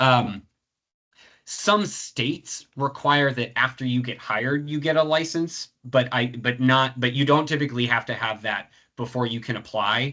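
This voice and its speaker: A man's medium-pitched voice has a bright, sharp tone and ordinary pitch variation. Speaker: professor running a career webinar. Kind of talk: webinar Q&A. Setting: video call webinar. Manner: fast; halting, many fillers.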